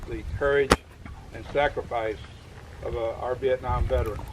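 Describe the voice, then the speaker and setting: A man talks while noticeable background noise carries on behind him. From Louisiana. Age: 70s. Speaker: war veteran and retired army colonel. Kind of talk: speech to veterans. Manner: halting, many fillers and restarts.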